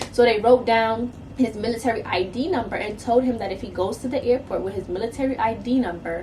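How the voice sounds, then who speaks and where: With an American accent, a woman talks at a fairly quick pace and fairly high pitch, with ordinary pitch variation and noticeable background noise. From New York City. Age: 20s. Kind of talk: casual story time to camera.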